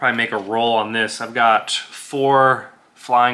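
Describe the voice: The clip features plain reading aloud. Its intonation remains fairly even.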